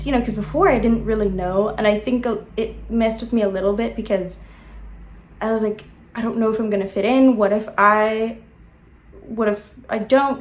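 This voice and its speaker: Audible room echo surrounds this woman's voice. She has an American accent and a fairly high pitch. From South Africa. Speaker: YouTuber. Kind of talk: casual vlog monologue. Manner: hesitant, many fillers.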